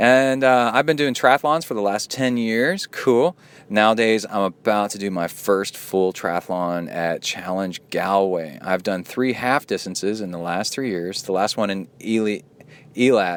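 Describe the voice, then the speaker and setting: With ordinary pitch variation, an ordinary speaking voice proceeds at a fairly slow pace. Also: man, fairly low pitch for a man. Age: 40s. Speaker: triathlon podcast host and coach. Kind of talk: podcast monologue reading listener mail. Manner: casual, conversational.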